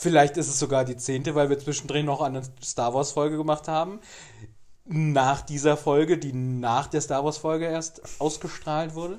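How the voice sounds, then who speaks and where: A man with an unremarkable speaking voice and a fairly high pitch speaks at a moderate pace with fairly even intonation. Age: 30s. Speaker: podcast co-host. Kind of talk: casual chat.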